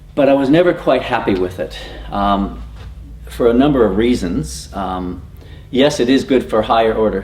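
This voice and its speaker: Moderate pace and lively intonation from a man with an American accent, over noticeable background noise. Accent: American, noticeable to Australians. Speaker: teacher. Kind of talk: presentation to teachers. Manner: hesitant, many fillers.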